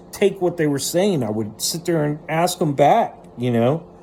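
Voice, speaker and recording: Fairly high-pitched man in an animated tone with lively intonation at a moderate pace, over noticeable background noise. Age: 40s. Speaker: vlogger. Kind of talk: personal monologue. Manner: rambling with repetitions.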